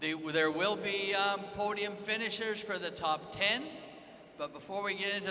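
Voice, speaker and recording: A man's raised, projected voice, high-pitched, at a moderate pace with ordinary pitch variation, audible room echo and noticeable background noise. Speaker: competition announcer. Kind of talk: event announcements to live audience. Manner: loud.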